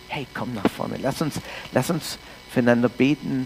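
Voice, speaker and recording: With noticeable background noise behind him, a man talks at a medium pitch with ordinary pitch variation. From Canada. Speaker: pastor. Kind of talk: sermon.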